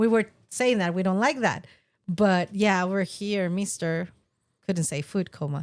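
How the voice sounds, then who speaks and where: In a very clean recording with a silent background, a woman with a Spanish accent speaks fairly slowly at a medium pitch with ordinary pitch variation. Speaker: podcast co-host. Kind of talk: casual chat.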